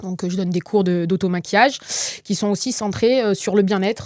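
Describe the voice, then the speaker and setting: Fairly even intonation marks a woman's medium-pitched voice as she speaks at a fairly quick pace. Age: 30s. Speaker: professional makeup artist. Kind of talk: casual interview. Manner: hesitant, many fillers.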